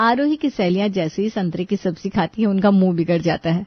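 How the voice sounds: A woman talks at a fairly quick pace in a medium-pitched voice with a slightly husky edge and ordinary pitch variation, the sound dry and close with no echo.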